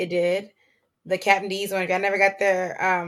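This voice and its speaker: A woman's medium-pitched voice with a bright, sharp tone and monotone, flat intonation, on a very clean recording with a silent background. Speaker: podcast host. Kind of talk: casual chat recap.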